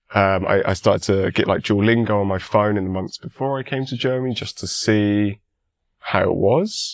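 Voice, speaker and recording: A man with a British accent speaks at a fairly low pitch with fairly even intonation. The recording is very clean, with a silent background. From England. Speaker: university student. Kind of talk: podcast interview.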